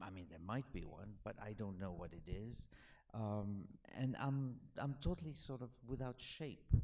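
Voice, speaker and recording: Lively in intonation, a man speaks with a French accent at a moderate pace. His voice is medium-pitched with a dark, mellow tone. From Alexandria, Egypt. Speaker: author. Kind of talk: Q&A after a film screening. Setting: cinema with audience. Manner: halting, many fillers and restarts.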